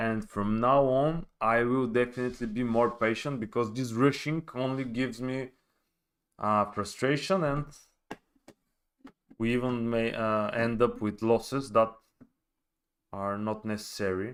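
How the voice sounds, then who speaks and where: With a Bulgarian accent, a man talks at a fairly slow pace, his intonation fairly even, leaving long, frequent pauses. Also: medium pitch for a man. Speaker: forex trader. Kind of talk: live trading stream. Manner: halting.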